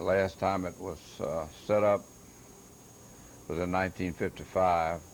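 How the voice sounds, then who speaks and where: Fairly slow, flat, monotone speech in a Louisiana accent, with long, frequent pauses. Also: man, very deep, low pitch for a man. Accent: Louisiana Southern US. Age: 70s. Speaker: woodcarver and hobby artist. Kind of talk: self-recorded exhibit explanation. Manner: halting, many fillers.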